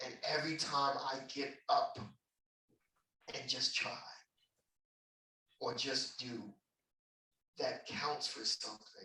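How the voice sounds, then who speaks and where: A man speaks very slowly. He leaves long, frequent pauses. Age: 20s. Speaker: performer. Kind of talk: interview. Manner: earnest.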